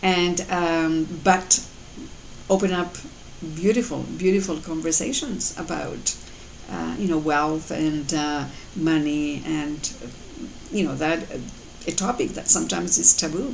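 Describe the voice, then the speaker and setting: A woman's fairly low voice with long, frequent pauses, noticeable background noise and audible room echo. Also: ordinary pitch variation, fairly slow pace. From Colombia. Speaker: mother and life coach vlogger. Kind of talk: motivational talk to camera. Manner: halting, many fillers.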